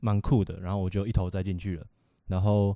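The recording is very clean, with a silent background. A man speaks at a fairly low pitch in a dark, mellow tone. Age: 20s. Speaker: young entrepreneur, vintage clothing seller. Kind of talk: casual chat.

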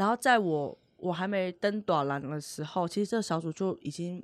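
Ordinary pitch variation marks a woman's normal speaking voice, fairly low in pitch and at a moderate pace, in a very clean recording with a silent background. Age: 30s. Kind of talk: podcast interview.

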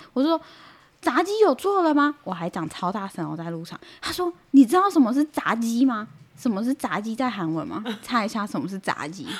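A somewhat breathy, fairly high-pitched woman with a Taiwanese accent, at a moderate pace, her pitch swinging very widely and her loudness varying greatly. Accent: Taiwanese Mandarin. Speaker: nurse. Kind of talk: casual chat.

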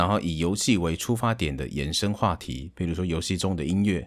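A man's very deep, low voice shows ordinary pitch variation. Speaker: game streamer and aspiring voice actor. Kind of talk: casual monologue. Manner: halting, with fillers.

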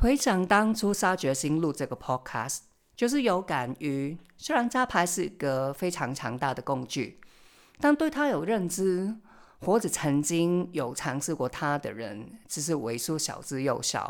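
In a very clean recording with a silent background, a woman with a fairly low voice speaks at a fairly slow pace, her pitch swinging very widely. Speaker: podcast host, tarot reader and family constellation facilitator. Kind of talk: solo podcast monologue.

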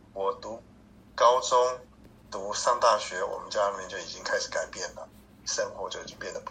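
A man speaks at an extremely high pitch with monotone, flat intonation and big swings in loudness. Long, frequent pauses break it up, over noticeable background noise. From Taiwan (Hsinchu). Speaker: cancer patient, church volunteer. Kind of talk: interview. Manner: halting, frequent fillers and stutters; gentle, mild-mannered.

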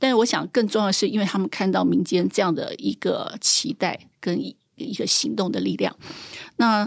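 A woman's medium-pitched voice with vocal fry at a moderate pace, on a very clean recording against a silent background. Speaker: trail association director. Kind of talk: interview conversation.

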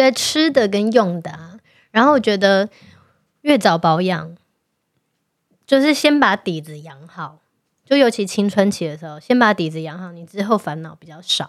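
A woman with a Taiwanese accent talks at a moderate pace and medium pitch, with very wide pitch swings, big swings in loudness and long, frequent pauses, on a very clean recording with a silent background. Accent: Taiwanese Mandarin. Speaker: podcast co-host. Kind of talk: casual chat. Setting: studio.

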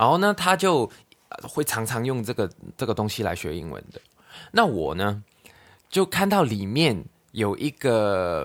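Speech in a Cantonese accent comes at a fairly slow pace with long, frequent pauses. The pitch swings very widely and the loudness rises and falls a lot. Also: man, medium pitch for a man. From Hong Kong. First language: Cantonese (speaking Chinese). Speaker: podcast host. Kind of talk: casual chat. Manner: halting.

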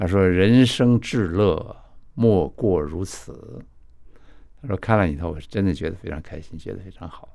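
A man speaks with a very deep, low pitch and a dark, mellow tone. His loudness swings widely, and his intonation is lively. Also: moderate pace. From China, moved to Taiwan as a child. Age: 80s+. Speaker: film director and author. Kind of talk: interview. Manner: halting, repeats words.

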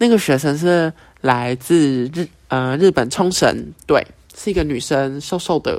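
Fairly high in pitch, a man speaks with a plain, everyday voice. His pace is fairly slow, and his pitch varies in an ordinary way. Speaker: podcast host. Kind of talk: casual monologue. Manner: casual, filler-heavy.

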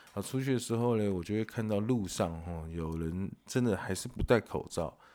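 With a Taiwanese accent, a man speaks at a moderate pace in a dark, mellow tone. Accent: Taiwanese Mandarin. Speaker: podcast host. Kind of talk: casual monologue. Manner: animated; filler-heavy.

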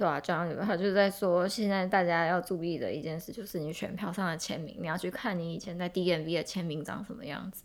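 A woman talks in an ordinary speaking voice, fairly low in pitch, at a fairly quick pace with hardly any pauses. Her intonation is fairly even, but her loudness swings widely. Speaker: podcast co-host. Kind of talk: casual chat.

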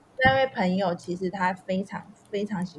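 A woman with a plain, everyday voice. Her pitch varies in an ordinary way. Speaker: language learner sharing life abroad. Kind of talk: interview.

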